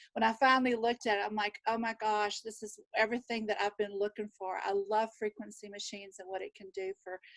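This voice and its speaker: A woman speaks with a Southern US accent at a fairly high pitch. The sound is dry and close, with no echo. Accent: Southern drawl. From Texas. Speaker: nurse and wellness practitioner. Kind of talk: panel introduction. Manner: animated.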